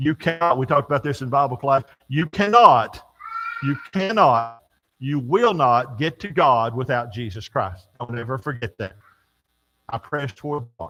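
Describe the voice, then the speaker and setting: A man with an American accent talks at a medium pitch with lively intonation. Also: moderate pace. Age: 60s. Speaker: church teacher. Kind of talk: sermon. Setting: church. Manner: folksy, conversational.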